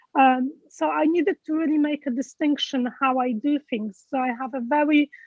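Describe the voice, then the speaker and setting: A woman with a Polish accent talks at a moderate pace, her high pitch showing ordinary variation. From Poland. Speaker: event speaker, health group leader. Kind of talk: interview at online awards event. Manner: halting, many fillers.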